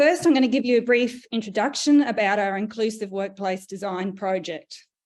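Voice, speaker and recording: A woman with an Australian accent, fairly high pitch, ordinary pitch variation and moderate pace. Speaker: research leader and panel moderator. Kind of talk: panel moderation and presentation. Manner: hesitant, many fillers.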